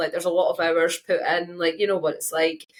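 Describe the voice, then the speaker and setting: Speaking very fast, a woman with a Scottish accent uses a fairly low pitch. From Scotland. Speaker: engineering geologist. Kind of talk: casual chat. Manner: loud.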